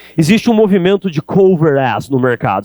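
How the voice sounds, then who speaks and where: The sound is dry and close with no echo. A man talks in an animated tone with lively intonation. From Brazil, interior (countryside). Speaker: sales speaker. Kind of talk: keynote talk. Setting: stage with audience.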